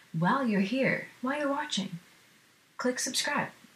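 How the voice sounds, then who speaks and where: With noticeable background noise behind her, a woman talks at a fairly quick pace with lively intonation. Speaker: musician and video creator. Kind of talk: solo live stream talk. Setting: live stream to camera. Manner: fast; filler words, halting.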